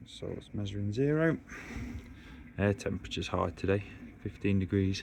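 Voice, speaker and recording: A man with a strong Derbyshire accent and fairly low pitch talks at a fairly quick pace with lively intonation and a relaxed tone. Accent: thick Derbyshire. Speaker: koi keeper vlogger. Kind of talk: casual vlog narration. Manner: relaxed, halting with fillers.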